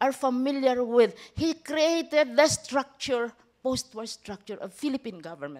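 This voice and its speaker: At a moderate pace, a woman talks in a high pitch. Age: 70s. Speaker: professor. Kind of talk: lecture.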